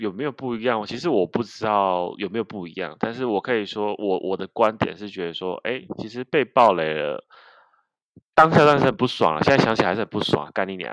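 A man speaks at a moderate pace. The sound is dry and close with no echo against a quiet background. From southern Taiwan, Kaohsiung. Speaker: podcast co-host. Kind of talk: casual chat about video games.

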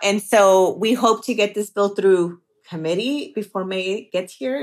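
A woman with an American accent speaks at a fairly slow pace in a medium pitch with ordinary pitch variation. She has a plain, everyday voice. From Southeast Los Angeles. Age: 40s. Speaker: state legislator. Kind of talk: interview.

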